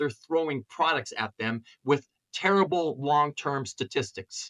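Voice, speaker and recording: A man with an ordinary speaking voice talks at a fairly high pitch and fairly slow pace, with ordinary pitch variation and a dry, close sound with no echo. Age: 60s. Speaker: chiropractor. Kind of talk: interview.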